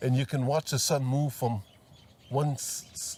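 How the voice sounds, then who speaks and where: A man with a Hawaiian accent sounds somewhat breathy on a very clean recording with a silent background. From Maui, Hawaii. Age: 80s+. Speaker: retired farmer. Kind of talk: oral history interview.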